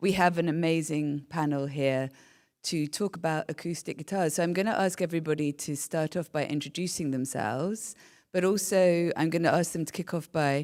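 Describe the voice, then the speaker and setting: In a British accent, a woman with a fairly low-pitched voice speaks at a fairly quick pace with ordinary pitch variation, on a very clean recording with a silent background. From UK. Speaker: panel moderator, nonprofit director. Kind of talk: panel moderation.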